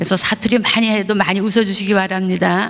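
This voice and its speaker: A woman speaks at a moderate pace and medium pitch. Music plays in the background, and room echo is audible. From Gangwon Province, South Korea. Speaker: pastor. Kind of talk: testimony. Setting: church.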